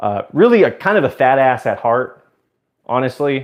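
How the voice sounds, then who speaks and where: A man speaks at a moderate pace in a plain, everyday voice. His pitch sits in the middle range, with lively intonation. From US South, Georgia (Suwanee). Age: 20s. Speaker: live streamer. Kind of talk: casual live stream chat.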